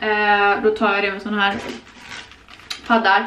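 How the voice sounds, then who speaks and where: Light background noise sits under a woman's voice. The room echo is audible. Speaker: vlogger. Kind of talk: casual vlog chat. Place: home room. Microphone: camera far.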